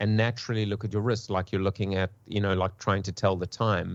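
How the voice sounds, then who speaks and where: A man with a South African accent and a fairly low pitch speaks at a fairly quick pace. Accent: pseudo South African. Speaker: marketing panelist. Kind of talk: panel discussion. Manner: halting, repeats words.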